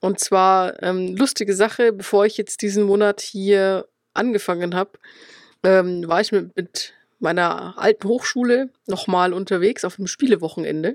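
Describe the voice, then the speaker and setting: At a medium pitch and a moderate pace, a woman speaks with fairly even intonation in a very clean, dry, close recording with no echo and a silent background. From Upper Palatinate, Bavaria (Schwandorf). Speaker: games journalist. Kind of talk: casual chat.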